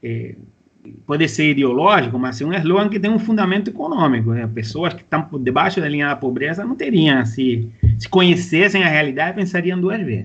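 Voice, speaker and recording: In a Cuban accent, a fairly high-pitched man talks at a fairly quick pace with lively intonation. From Cuba, small northern coastal port town. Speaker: university professor. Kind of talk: interview. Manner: halting, many fillers and restarts.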